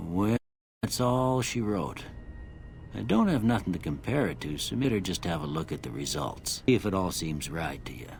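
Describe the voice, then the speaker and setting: A man does a put-on character voice, drawling in a Western US accent at a moderate pace. His pitch is very deep and low, with very wide swings. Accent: rural Western drawl. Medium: video game. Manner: folksy, drawling.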